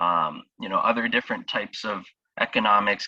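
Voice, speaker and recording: A man with a South Florida accent talks at a moderate pace in a dry, close sound with no echo. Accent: American, South Florida. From US South, Miami, Florida. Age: 20s. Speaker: startup founder. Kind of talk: interview. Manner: halting, many fillers.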